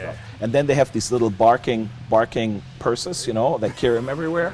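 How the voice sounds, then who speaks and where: Music plays behind a man with a German accent who speaks very fast at medium pitch with ordinary pitch variation. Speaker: welder. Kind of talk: casual anecdote.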